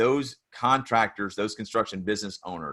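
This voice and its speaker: This man has a fairly low pitch, a bright, sharp tone and a Tennessee accent. He talks at a moderate pace with fairly even intonation over a quiet background. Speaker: construction business consultant and author. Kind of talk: podcast interview.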